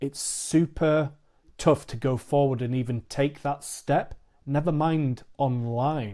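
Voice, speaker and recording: With a British accent, a man speaks very slowly in a dark, mellow tone, fairly high pitched with fairly even intonation, in a very clean recording with a silent background. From England. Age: 40s. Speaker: podcast host. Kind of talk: casual chat.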